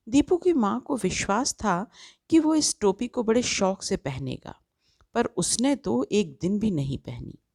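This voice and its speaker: Over a very clean recording with a silent background, a somewhat breathy woman at medium pitch makes very wide pitch swings, the sound dry and close with no echo. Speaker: voice-over artist. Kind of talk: children's story narration.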